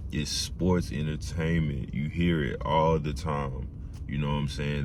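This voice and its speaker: A man with a very deep, low pitch speaks at a fairly slow pace, his intonation fairly even. Noticeable background noise and audible room echo are present. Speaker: aspiring pro wrestler and video creator. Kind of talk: casual vlog monologue.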